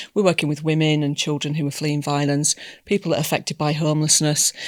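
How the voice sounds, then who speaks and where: A woman's very deep, low voice with a British accent, in dry, close sound with no echo. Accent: broad British. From England. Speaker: community service manager. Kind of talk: podcast interview. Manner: halting, many fillers.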